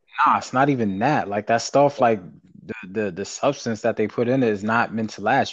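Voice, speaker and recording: A plain, everyday voice from a man with an American accent, fairly low-pitched and fairly quick, with fairly even intonation over a quiet background. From US South, small town. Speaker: podcast co-host. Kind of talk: casual chat.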